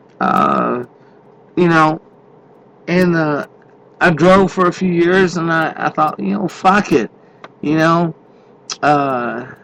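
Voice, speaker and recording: Speaking very slowly with long, frequent pauses, a man uses a fairly high pitch with ordinary variation amid noticeable background noise. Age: 50s. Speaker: truck driver podcaster. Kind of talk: casual monologue. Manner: halting, many fillers; unscripted off the cuff.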